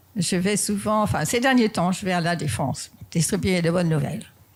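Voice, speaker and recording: A woman speaks at a fairly low pitch with vocal fry. The recording is very clean, with a silent background. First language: not French (speaking French). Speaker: pastor. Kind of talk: sermon. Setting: church.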